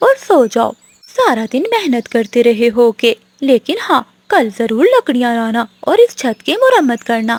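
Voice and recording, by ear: A female-sounding cartoonish character voice, high in pitch, at a moderate pace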